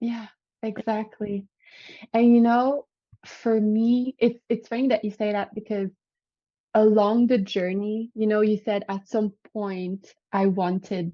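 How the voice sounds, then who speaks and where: Speaking very slowly in a French Canadian accent, a woman keeps a monotone, flat intonation. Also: fairly high pitch for a woman. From Quebec. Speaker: vegan lifestyle coach. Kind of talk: podcast interview.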